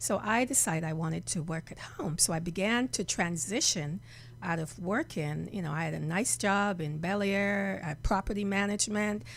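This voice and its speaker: A woman's fairly low voice with vocal fry, lively intonation, and a moderate pace. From Jamaica. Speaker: reverend and healer. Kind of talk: interview. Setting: studio.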